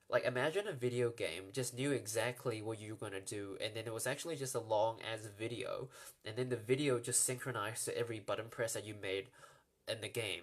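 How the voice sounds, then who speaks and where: Somewhat breathy and at a medium pitch, a man talks with an American accent and fairly even intonation. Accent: sounds American to some. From New Zealand. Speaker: comedian. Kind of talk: live stream Q&A. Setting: live stream. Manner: casual, many fillers and repeats.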